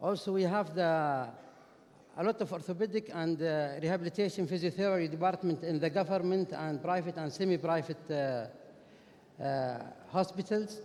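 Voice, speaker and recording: Speaking at a moderate pace with a Saudi accent, a man has a high pitch and ordinary pitch variation. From Saudi Arabia. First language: Arabic. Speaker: orthopedic and sports medicine doctor. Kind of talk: conference lecture. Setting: conference stage with audience. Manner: halting, many fillers.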